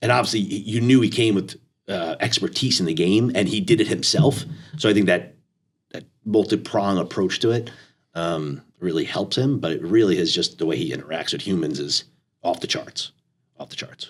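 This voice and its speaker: Speaking at a moderate pace, a man uses an ordinary speaking voice pitched fairly low. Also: lively intonation. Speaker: athletic director. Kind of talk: casual chat.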